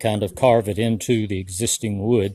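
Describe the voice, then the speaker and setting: A man talks with an Appalachian accent. His tone is relaxed, dark and mellow. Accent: US Southern Appalachian. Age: 60s. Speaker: homesteader and woodcarver. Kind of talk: casual vlog walkthrough. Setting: outdoors and in workshop on farm. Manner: relaxed, slow-paced.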